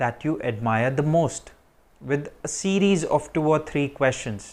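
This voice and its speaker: The man's pitch is fairly high, with ordinary pitch variation. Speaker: IELTS tips YouTuber. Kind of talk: tutorial.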